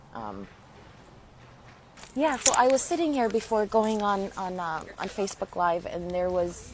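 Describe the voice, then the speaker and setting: A woman speaks in a Spanish accent at a fairly slow pace, with a medium pitch and ordinary variation. Noticeable background noise runs underneath. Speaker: spiritual healer and channeler. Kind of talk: live stream talk. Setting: Facebook live video. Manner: halting.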